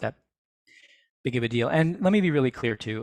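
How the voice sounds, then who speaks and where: Very clean and silent in the background, the recording has a man speaking at a fairly quick pace with ordinary pitch variation. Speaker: university music technology director giving a talk. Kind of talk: Q&A session. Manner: fast; conversational, with fillers.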